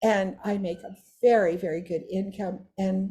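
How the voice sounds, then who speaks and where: The tone is dark and mellow. The voice sounds somewhat breathy. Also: woman. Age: 80s+. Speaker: direct sales leader. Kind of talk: testimony. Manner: animated.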